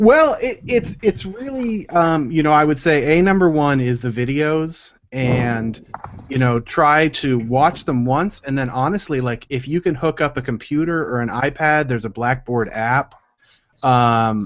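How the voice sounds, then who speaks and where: Speaking at a fairly slow pace, a man uses a fairly high pitch with ordinary variation. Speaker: ceramics instructor. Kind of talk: online class Q&A.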